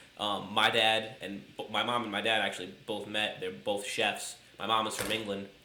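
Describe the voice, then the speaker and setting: Amid noticeable background noise and audible room echo, a man with an American accent talks at a moderate pace with hardly any pauses, his fairly low pitch carried by fairly even intonation. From upstate New York. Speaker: podcast co-host. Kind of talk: casual chat. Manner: halting, many fillers.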